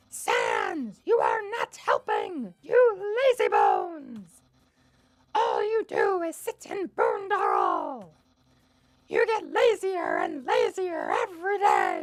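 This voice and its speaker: A squeaky, put-on character voice at an extremely high pitch moves along at a very slow pace. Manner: goofy, scolding.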